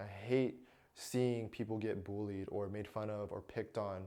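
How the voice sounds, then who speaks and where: A man speaks at a moderate pace in a medium pitch. His intonation rises and falls in an ordinary way. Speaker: self-help vlogger. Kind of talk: casual vlog talk to camera. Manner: casual, hesitant with fillers.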